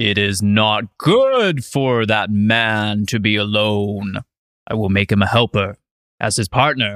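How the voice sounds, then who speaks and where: Using a put-on character voice, a man talks at a fairly slow pace and fairly low pitch. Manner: solemn, booming.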